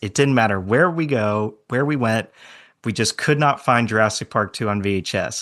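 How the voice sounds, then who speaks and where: A man talks with lively intonation at a moderate pace, using an ordinary speaking voice against a quiet background. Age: 20s. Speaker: dinosaur film enthusiast guest. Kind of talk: casual podcast chat.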